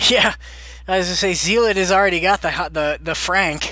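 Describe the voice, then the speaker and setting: A man with an American accent speaks at a high pitch with fairly even intonation over noticeable background noise. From Boston area, Massachusetts. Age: 30s. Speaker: game modder streamer. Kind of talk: casual live stream Q&A. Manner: casual, filler-heavy.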